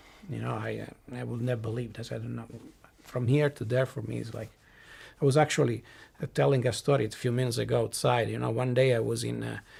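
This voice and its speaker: Someone speaks at a very fast pace with an Italian accent. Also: man. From southern Italy. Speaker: tech company executive and lecturer. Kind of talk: panel interview. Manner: halting.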